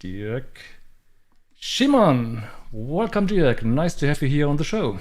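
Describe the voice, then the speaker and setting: A man talks at a fairly high pitch in a German accent. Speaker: backgammon streamer. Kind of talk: live stream interview. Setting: live stream.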